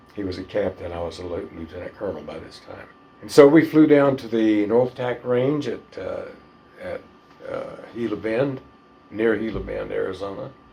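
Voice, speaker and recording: A man's loudness swings widely while noticeable background noise runs underneath. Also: moderate pace. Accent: Southern US. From northern Florida. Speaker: retired fighter pilot. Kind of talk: interview answer.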